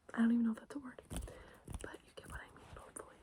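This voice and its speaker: A soft-spoken woman is talking. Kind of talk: ASMR ramble, casual talk to camera. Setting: bedroom, with lotion and keyboard sounds. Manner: soft-spoken, intimate, repeating phrases.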